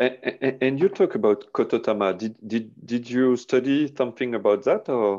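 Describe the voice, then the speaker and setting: At a moderate pace over a quiet background, a man with a French accent speaks in a medium pitch, his tone dark and mellow and his intonation lively. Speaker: aikido interviewer. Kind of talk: interview. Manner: halting. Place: home room. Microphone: earbuds.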